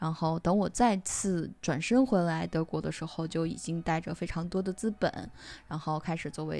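A woman with a normal speaking voice and fairly low pitch talks at a moderate pace with ordinary pitch variation. The recording is very clean, with a silent background. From China. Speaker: podcaster, IT professional. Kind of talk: reading aloud own essay.

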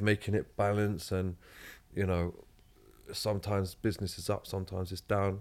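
Here a man with a London accent speaks at a fairly low pitch and moderate pace. His intonation is monotone and flat, in a very clean recording with a silent background. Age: 30s. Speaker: guest. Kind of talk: casual chat.

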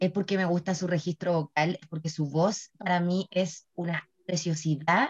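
Fairly low in pitch and somewhat breathy, a woman speaks at a fairly slow pace with fairly even intonation in a dry, close sound with no echo. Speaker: podcast co-host. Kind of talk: casual chat. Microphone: laggy connection.

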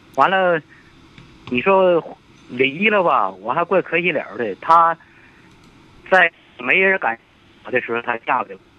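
Lively in intonation yet fairly slow, a man with a high pitch speaks with long, frequent pauses. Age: 70s. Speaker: elderly caller. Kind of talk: phone-in advice call. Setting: phone call.

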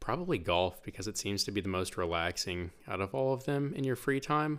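On a very clean recording with a silent background, a man with an American accent uses a normal speaking voice at a moderate pace with lively intonation. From Oklahoma, Bartlesville. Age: 20s. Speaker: esports program director. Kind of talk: casual chat.

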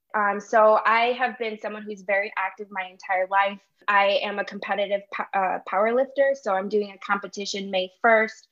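The speaker has an American accent and delivers every line in a flat, monotone way. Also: woman, medium pitch for a woman, moderate pace. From Chicago, Illinois. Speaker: medical student. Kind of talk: interview.

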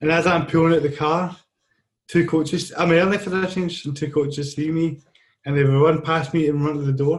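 A man speaks with a Scottish accent at a fairly high pitch. His voice is somewhat breathy, with fairly even intonation. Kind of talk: casual chat.

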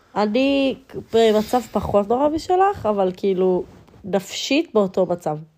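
A woman's fairly high yet dark, mellow voice at a very slow pace, with lively intonation and very even loudness. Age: 20s. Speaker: podcast co-host, student. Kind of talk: casual chat.

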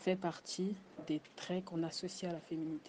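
A woman has a dark, mellow tone. She speaks at a moderate pace. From Congo. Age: 20s. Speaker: student. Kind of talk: casual chat.

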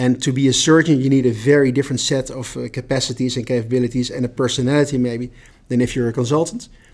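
A man speaks in a normal speaking voice. His pitch is medium, and his intonation is fairly even. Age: 50s. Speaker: HR director. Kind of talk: casual chat.

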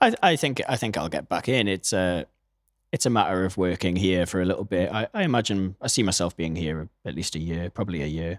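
A man with a British accent speaks at a fairly quick pace in a very deep, low pitch with ordinary pitch variation. The sound is dry and close with no echo, on a very clean recording with a silent background. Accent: British, non-American. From Newcastle, northeast England. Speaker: audio engineer and musician. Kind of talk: casual interview. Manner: hesitant, many fillers.

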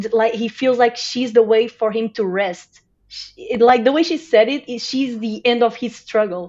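With a Portuguese accent, a woman talks at a fairly slow pace in a fairly high pitch, with ordinary pitch variation. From Portugal. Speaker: podcast guest, TV fan. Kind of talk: casual chat.

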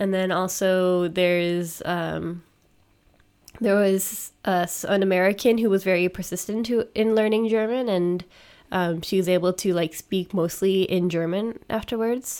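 In a Canadian accent, a woman with an unremarkable speaking voice talks at a medium pitch and a fairly slow pace, with very even loudness and fairly even intonation. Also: very clean recording, silent background. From Canada. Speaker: streamer and podcaster. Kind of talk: casual chat.

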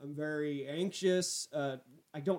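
With an ordinary speaking voice, the delivery holds a moderate pace and shows ordinary pitch variation. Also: man. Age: 20s. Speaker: podcast host and stand-up comedian. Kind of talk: casual solo monologue.

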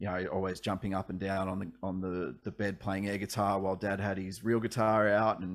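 Over a very clean recording with a silent background, a man talks at a fairly quick pace in an Australian accent. His fairly low voice stays monotone and flat. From Australia, regional Victoria (Ballarat). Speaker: singer-songwriter. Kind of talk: casual interview.

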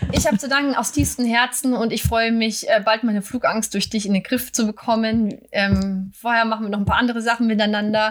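A woman at a fairly high pitch and fairly quick pace, her intonation fairly even, against noticeable background noise. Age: 40s. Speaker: podcast host. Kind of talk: casual chat. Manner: fast when anxious.

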